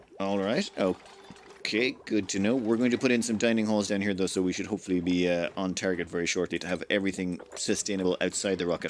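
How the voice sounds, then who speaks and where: A man's fairly low voice at a very fast pace, fairly even in intonation, with hardly any pauses, on a very clean recording with a silent background. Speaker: let's play gamer. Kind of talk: casual gameplay commentary.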